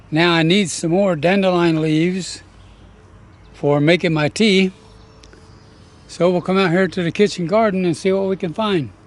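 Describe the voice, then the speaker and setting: A man with a Southern US accent speaks at a moderate pace in a high voice, with fairly even intonation and long, frequent pauses. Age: 80s+. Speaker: gardening youtuber. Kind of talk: tutorial. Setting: outdoors.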